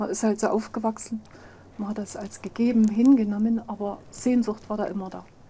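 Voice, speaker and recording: A woman with a fairly high pitch speaks at a fairly quick pace in a monotone, flat intonation, her loudness swinging widely. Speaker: former East German resident. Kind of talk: interview.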